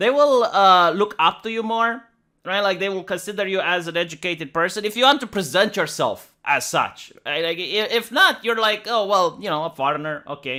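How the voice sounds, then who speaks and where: Recorded very cleanly against a silent background, a man speaks in a raised, projected voice with a Romanian accent. His pitch is high, his tone bright and sharp, his intonation lively, and his pace fairly quick. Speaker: streamer reacting to videos. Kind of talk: reaction commentary. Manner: casual, filler-heavy.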